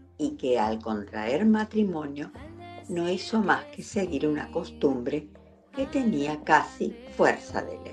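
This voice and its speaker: Music plays in the background as a woman talks at a very slow pace. Her loudness swings widely. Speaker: voice-over narrator. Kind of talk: devotional prayer reading.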